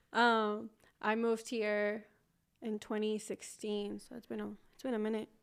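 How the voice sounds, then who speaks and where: Fairly high female speech with a slight Mexican accent, monotone, flat intonation, big swings in loudness, a moderate pace and long, frequent pauses. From Mexico, Manzanillo, Colima. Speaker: podcast co-host. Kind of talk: casual chat.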